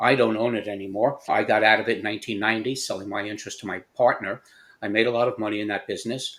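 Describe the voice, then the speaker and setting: A man at a very fast pace, in a monotone, flat intonation. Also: very clean recording, silent background. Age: 70s. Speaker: entrepreneur. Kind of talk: podcast interview.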